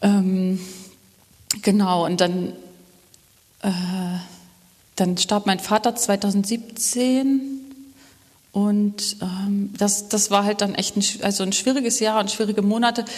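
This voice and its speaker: A woman speaks at medium pitch with fairly even intonation, at a very slow pace broken by long, frequent pauses. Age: 30s. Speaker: web developer, church member. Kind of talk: interview about faith journey during church service.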